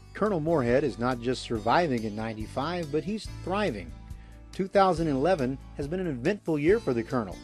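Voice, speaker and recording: Music plays behind a man with a fairly high pitch. He speaks at a fairly quick pace with lively intonation. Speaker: documentary host / narrator. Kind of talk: documentary narration.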